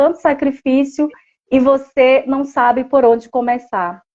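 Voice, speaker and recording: This woman has a high-pitched voice. She speaks at a fairly slow pace. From Brazil, Pará interior, raised in Manaus. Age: 40s. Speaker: social worker. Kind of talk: live stream interview. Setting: live stream.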